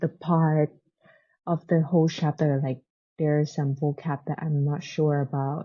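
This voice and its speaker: A woman with a non-native accent, very deep and low in pitch, fairly slow and monotone, with flat intonation. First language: not English. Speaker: booktuber. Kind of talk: casual book review vlog. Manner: halting, many fillers; says 'like' very often.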